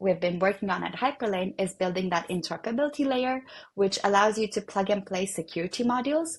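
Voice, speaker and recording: A woman with a non-native accent speaks at a fairly quick pace and medium pitch, her intonation lively. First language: not English. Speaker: developer relations at a blockchain protocol. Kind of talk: technical explainer in a web interview. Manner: many fillers and false starts.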